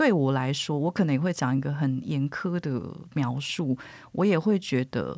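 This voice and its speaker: Heard in a very clean recording with a silent background, a woman speaks at a moderate pace. Her voice is very deep and low. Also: lively intonation. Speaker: editor and journalist. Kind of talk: casual interview chat.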